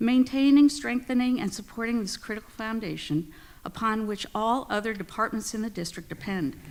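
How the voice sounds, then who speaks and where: This woman has an ordinary speaking voice, talking at a moderate pace with lively intonation. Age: 60s. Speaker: special education teacher giving public comment. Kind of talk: prepared public comment speech. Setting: school board meeting. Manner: formal.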